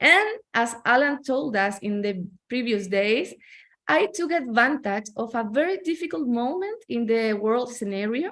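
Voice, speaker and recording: A woman in a Chilean Spanish accent, fairly high in pitch, with lively intonation at a fairly slow pace, in a very clean recording with a silent background. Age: 40s. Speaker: network marketing entrepreneur. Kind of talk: testimony. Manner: halting.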